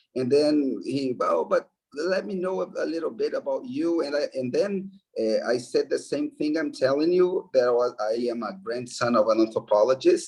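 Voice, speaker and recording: At a moderate pace, a man speaks with a Brazilian accent. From Brazil, Belo Horizonte, Minas Gerais. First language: Portuguese. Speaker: anthropologist, professor. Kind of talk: interview. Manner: halting.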